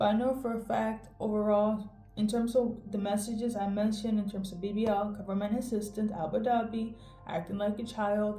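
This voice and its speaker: Over music in the background and audible room echo, a woman with a fairly high pitch talks at a fairly quick pace in a monotone, flat intonation. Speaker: tarot reader. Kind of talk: tarot reading to camera. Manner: casual, conversational.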